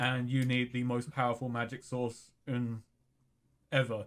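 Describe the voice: A man's medium-pitched voice at a fairly slow pace, with little pitch movement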